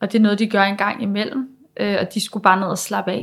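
A woman at medium pitch with monotone, flat intonation. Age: 20s. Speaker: pedagogue sharing personal story. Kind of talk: personal testimony. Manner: halting.

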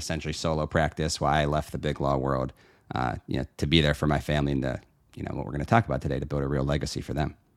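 Speaking at a very fast pace with an American accent, a man uses a very deep, low voice with vocal fry and fairly even intonation on a very clean recording with a silent background. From Pittsburgh, Pennsylvania. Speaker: estate planning lawyer. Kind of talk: casual chat.

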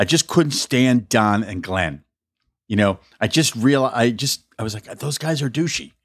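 A man with a plain, everyday voice talks at medium pitch and a fairly slow pace, his intonation lively. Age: 50s. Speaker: podcast host. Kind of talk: casual chat.

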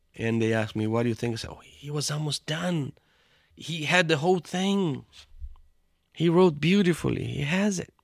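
With a Portuguese accent, a fairly high-pitched man talks at a moderate pace with lively intonation, big swings in loudness and long, frequent pauses, on a very clean recording with a silent background. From Brazil, São Paulo. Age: 50s. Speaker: theology professor and pastor. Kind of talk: interview.

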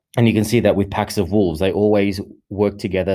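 In an Australian accent, a man speaks at a fairly low pitch with a dark, mellow tone on a very clean recording with a silent background. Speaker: men's coach and meditation leader. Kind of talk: solo podcast monologue. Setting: studio. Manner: halting, many fillers and repetitions.

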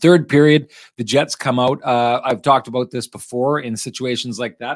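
Recorded very cleanly against a silent background, a speaker with a Manitoban accent talks at a moderate pace with ordinary pitch variation in a dry, close sound with no echo. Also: man. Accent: Canadian (Manitoba). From Manitoba, Canada. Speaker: hockey podcast host. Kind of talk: post-game sports talk.

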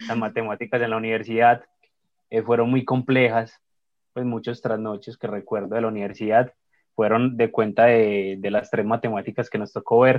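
At a moderate pace, a man speaks with medium pitch. His intonation is monotone and flat. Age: 20s. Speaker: accountant, social media creator. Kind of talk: casual interview chat.

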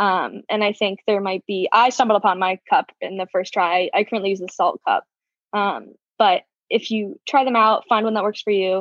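Using a plain, everyday voice, a woman speaks at a medium pitch and a moderate pace with fairly even intonation. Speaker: college student, club vice president. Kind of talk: interview.

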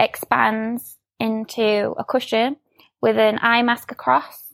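A woman with a Yorkshire accent, a fairly high pitch and lively intonation, in a dry, close sound with no echo. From Sheffield, northern England. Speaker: product designer. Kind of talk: casual interview.

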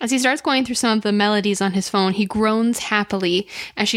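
Here someone does plain reading aloud.

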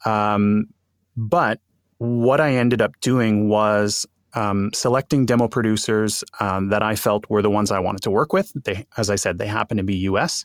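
On a very clean recording with a silent background and a dry, close sound with no echo, a man with a Montreal accent speaks at a fairly low pitch with fairly even intonation. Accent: English-speaking Montreal Canadian. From Montreal, Quebec. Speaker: bilingual voice actor. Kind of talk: interview conversation.

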